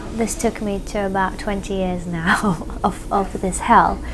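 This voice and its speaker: Amid noticeable background noise, a woman speaks at a medium pitch. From Iraq, Baghdad until 11, then London. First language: Arabic. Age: 30s. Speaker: documentary subject. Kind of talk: interview testimony.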